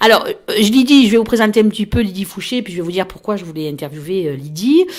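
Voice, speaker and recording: A woman at a very fast pace, with lively intonation and big swings in loudness. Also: medium pitch for a woman. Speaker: radio host. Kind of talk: radio interview. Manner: hesitant.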